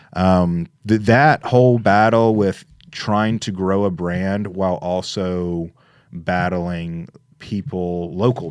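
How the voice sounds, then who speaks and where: Against a quiet background, a speaker with a Memphis accent uses ordinary pitch variation. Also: man. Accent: Southern US (Memphis). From Memphis, Tennessee. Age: 30s. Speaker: real estate investor. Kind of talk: casual interview.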